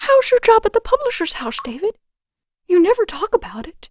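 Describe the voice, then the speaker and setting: Using a put-on character voice, a woman speaks at a fairly quick pace in a squeaky, extremely high pitch with a gentle tone. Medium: read story. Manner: gentle, sweet.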